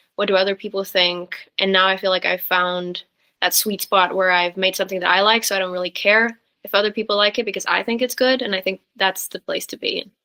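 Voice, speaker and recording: Using a monotone, flat intonation, a woman with a medium pitch speaks at a fairly quick pace. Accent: Norwegian. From Norway. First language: Norwegian. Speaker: singer-songwriter. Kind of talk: interview.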